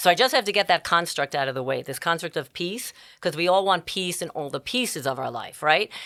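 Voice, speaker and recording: Animated and full of lively intonation, a woman speaks with a New York accent. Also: very clean recording, silent background. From New York City (Bronx). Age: 60s. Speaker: life coach and entrepreneur. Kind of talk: podcast interview. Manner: fast.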